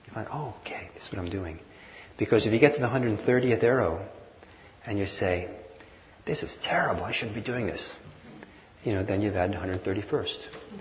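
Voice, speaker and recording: A man with a fairly low pitch and ordinary pitch variation speaks at a moderate pace with long, frequent pauses and big swings in loudness, over noticeable background noise. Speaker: meditation teacher. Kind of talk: guided meditation. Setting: live class with audience, mic and hearing system.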